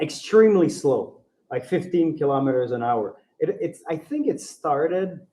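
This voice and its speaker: A man with a Quebec accent speaks at a moderate pace in a high pitch with ordinary pitch variation. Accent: French-Canadian accent in English. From Ontario, francophone. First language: French. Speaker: bike traveller. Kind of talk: podcast interview. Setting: live recording in a bike co-op. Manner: halting.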